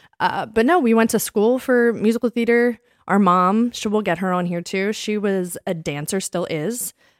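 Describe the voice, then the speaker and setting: A woman speaks with an American accent at a medium pitch and a moderate pace, with hardly any pauses. The recording is very clean, with a silent background and a dry, close sound with no echo. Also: ordinary pitch variation. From Delaware County, Pennsylvania. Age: 30s. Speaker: podcast co-host, fitness instructor. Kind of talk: casual chat.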